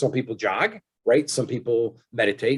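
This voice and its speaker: A man's somewhat breathy voice. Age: 60s. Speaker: engineer and wellness product inventor. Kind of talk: interview.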